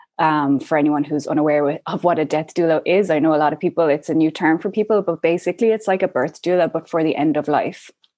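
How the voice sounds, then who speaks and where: A woman's very deep, low, dark and mellow voice in an Irish accent, very fast, with fairly even intonation and very even loudness against a quiet background. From Ireland. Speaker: death doula. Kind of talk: interview.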